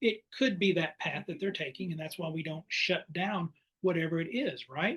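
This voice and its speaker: A man with a high pitch talks at a fairly quick pace with ordinary pitch variation. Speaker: play therapist and counselor education professor. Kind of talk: webinar presentation. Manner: fast.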